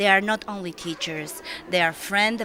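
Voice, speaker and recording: A woman's medium-pitched voice at a moderate pace, with ordinary pitch variation, over noticeable background noise. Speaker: school parent. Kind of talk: thank-you speech. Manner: halting.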